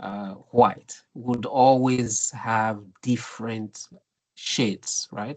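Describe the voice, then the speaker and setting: The sound is dry and close with no echo as a man speaks at a medium pitch with fairly even intonation. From Nigeria, Benin (Edo) area. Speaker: philosophy academic. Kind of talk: lecture. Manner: halting, many repetitions and fillers.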